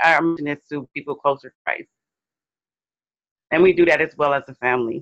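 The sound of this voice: A woman with a low pitch talks at a fairly quick pace, her intonation fairly even.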